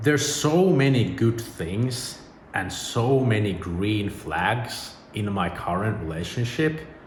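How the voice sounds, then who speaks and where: With a Finnish accent and lively intonation, a man speaks at a very slow pace amid audible room echo and noticeable background noise. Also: medium pitch for a man. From Finland. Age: 30s. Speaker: YouTuber. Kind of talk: personal vlog monologue. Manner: casual.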